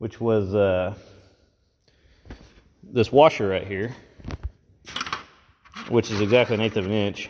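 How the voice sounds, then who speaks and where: A man's fairly low voice at a fairly slow pace, with fairly even intonation and light background noise. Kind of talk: tutorial. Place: workshop. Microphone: phone near.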